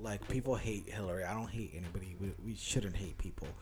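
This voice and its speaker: Audible room echo follows a man speaking with a fairly low pitch. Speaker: podcast co-host. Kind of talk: casual chat. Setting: home dining room.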